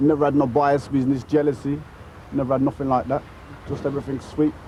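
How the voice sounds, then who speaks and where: In a Brummie accent, a man talks at a very fast pace with a fairly high pitch and monotone, flat intonation. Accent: Birmingham (Brummie). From Birmingham, England. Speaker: reggae DJ. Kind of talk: interview.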